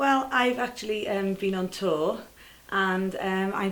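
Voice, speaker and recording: A woman with a Welsh accent, medium pitch and ordinary pitch variation, amid audible room echo. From Wales. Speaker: celebrity impersonator and singer. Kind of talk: casual chat.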